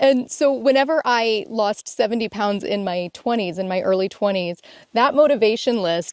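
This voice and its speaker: A plain, everyday voice from a woman, fairly high in pitch with ordinary variation, at a moderate pace, in a dry, close sound with no echo against a quiet background. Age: 40s. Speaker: self-help video co-host. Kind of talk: casual instructional conversation.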